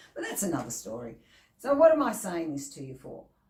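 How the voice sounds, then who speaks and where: A woman's somewhat breathy voice carries audible room echo. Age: 50s. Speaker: motivational speaker. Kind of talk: motivational vlog talk. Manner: animated.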